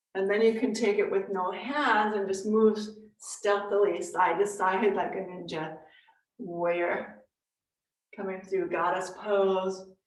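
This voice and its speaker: Amid audible room echo, a woman speaks slowly-ish at a medium pitch with fairly even intonation. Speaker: yoga teacher. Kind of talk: live yoga class instruction. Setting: live online class.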